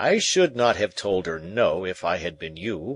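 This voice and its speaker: In a put-on character voice, a man speaks at a moderate pace, very deep and low in pitch and raspy. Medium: read story. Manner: cool, measured, noncommittal.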